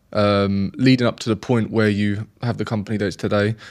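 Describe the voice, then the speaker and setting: A man's fairly low-pitched voice over a quiet background. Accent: British. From UK. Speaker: podcast host. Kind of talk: interview.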